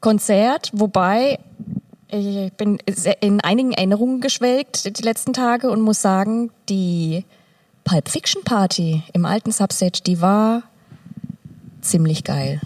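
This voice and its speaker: A woman speaks very slowly with long, frequent pauses, at a medium pitch with ordinary pitch variation, in a dry, close sound with no echo. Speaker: bookseller and music club volunteer. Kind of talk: casual interview.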